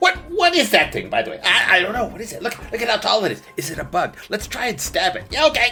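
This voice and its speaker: A man uses a put-on character voice at an extremely high pitch and a very fast pace. His loudness swings widely over clear music in the background. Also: hardly any pauses. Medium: actual play. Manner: muttering, jumbled, rabble chatter.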